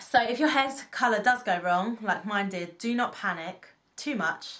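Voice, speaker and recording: This woman has a British accent. Her voice sits at a medium pitch with ordinary variation. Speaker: beauty vlogger. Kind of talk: casual vlog talk. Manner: fast.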